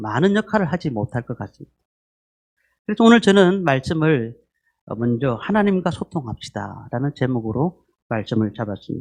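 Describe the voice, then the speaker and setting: A man with a strong Gyeongsang accent at a moderate pace, his pitch swinging very widely. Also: dry, close sound with no echo. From Gyeongsang region, Korea. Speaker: pastor. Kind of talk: sermon. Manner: frequent filler hesitations.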